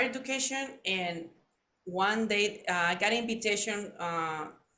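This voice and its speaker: Speaking at a fairly slow pace, a woman uses a fairly high voice with ordinary pitch variation and a Spanish accent. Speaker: podcast host. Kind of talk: interview chat.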